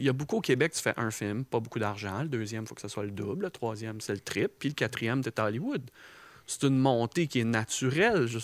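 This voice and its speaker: On a very clean recording with a silent background, a man with a plain, everyday voice talks fairly quickly at medium pitch, showing ordinary pitch variation and big swings in loudness. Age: 40s. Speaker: film director. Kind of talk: casual chat.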